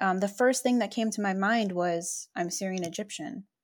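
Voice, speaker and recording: The voice is a normal speaking voice at a moderate pace. The recording is very clean, with a silent background. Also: woman. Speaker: podcast host, advocacy non-profit founder. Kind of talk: casual chat.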